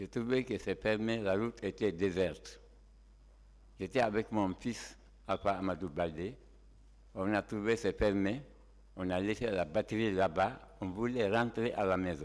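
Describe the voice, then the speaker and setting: A man's fairly low voice with vocal fry, ordinary pitch variation, a fairly slow pace and long, frequent pauses, on a very clean recording with a silent background. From Guinea (Tougué, Fouta Djallon). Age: 70s. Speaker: shooting victim, driver. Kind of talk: court testimony. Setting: courtroom.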